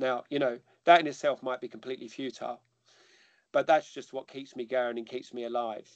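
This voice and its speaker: With a London accent, the voice runs at a fairly quick pace with fairly even intonation and big swings in loudness, in a dry, close sound with no echo. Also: man, medium pitch for a man. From North London, England. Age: 50s. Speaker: army chaplain and former infantry officer. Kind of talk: interview. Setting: online call.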